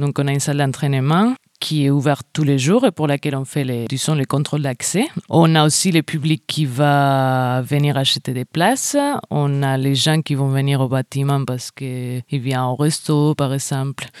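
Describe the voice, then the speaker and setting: Very deep and low, a woman's voice comes through dry and close with no echo, fairly even in intonation at a moderate pace. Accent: Spanish. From Spain. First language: Spanish (speaking French). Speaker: venue box office worker. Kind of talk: interview.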